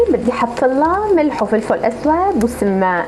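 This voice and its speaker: A woman with a Syrian coastal accent speaks at a fairly slow pace in a high pitch with very wide swings, amid audible room echo and noticeable background noise. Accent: Tartus dialect, Syrian coast. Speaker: cooking video host. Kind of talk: cooking tutorial. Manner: casual, chatty.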